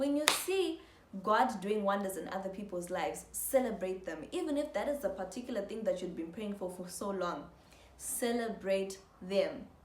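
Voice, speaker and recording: A woman with a medium pitch talks at a moderate pace, her tone animated and her intonation lively, amid audible room echo and noticeable background noise. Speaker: motivational YouTuber. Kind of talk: motivational talk to camera.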